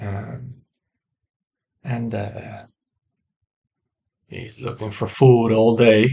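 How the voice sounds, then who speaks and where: A very slow, somewhat breathy delivery with a non-native accent and fairly even intonation. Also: man. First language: not English. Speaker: woodworker sharing personal philosophy. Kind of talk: personal monologue to camera. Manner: halting, many fillers; reflective, slow.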